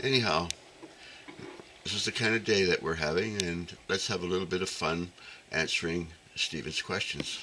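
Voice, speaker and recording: Amid noticeable background noise, a man with a very deep, low pitch speaks at a moderate pace, leaving long, frequent pauses. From Newfoundland, Canada. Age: 70s. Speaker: archery vlogger. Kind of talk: casual monologue to camera. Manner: halting, many fillers.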